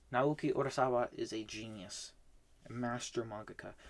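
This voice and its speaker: With an ordinary speaking voice, a man talks at a moderate pace and medium pitch, keeping his intonation fairly even. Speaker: manga reading vlogger. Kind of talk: casual monologue review. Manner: filler-heavy, with false starts.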